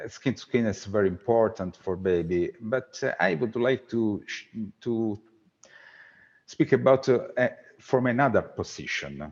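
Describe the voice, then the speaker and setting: Speaking in an Italian accent, a man takes a fairly slow pace. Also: medium pitch for a man, lively intonation. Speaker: researcher. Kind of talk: conference Q&A. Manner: halting.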